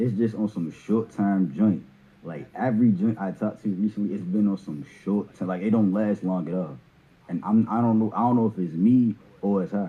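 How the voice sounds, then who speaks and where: This man speaks with a Baltimore accent at a moderate pace. His pitch shows ordinary variation. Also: fairly low pitch for a man. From Baltimore, US. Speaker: caller. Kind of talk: casual chat. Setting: video call.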